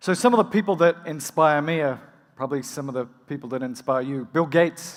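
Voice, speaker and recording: With an Australian accent, a man speaks fairly quickly at a fairly high pitch, with ordinary pitch variation. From rural Australia. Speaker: emergency physician and medical educator. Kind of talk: conference keynote. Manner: fast.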